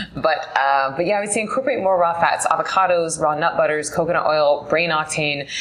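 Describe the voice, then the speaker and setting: There is noticeable background noise. A woman speaks with a very deep, low pitch. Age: 30s. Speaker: meditation teacher. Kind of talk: interview chat.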